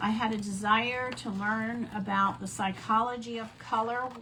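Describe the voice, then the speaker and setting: A woman speaks at a fairly slow pace with a fairly high pitch and monotone, flat intonation, with noticeable background noise and audible room echo. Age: 60s. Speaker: crafting instructor, former math teacher. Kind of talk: live craft tutorial. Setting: live stream event. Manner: casual, chatty.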